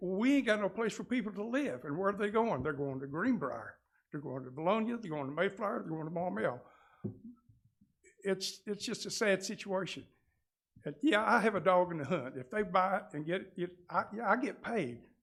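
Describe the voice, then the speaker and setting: A man talks at a high pitch and a fairly quick pace, with lively intonation. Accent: Southern US. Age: 70s. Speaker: real estate agent. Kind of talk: public comment. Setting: city council meeting. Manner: halting.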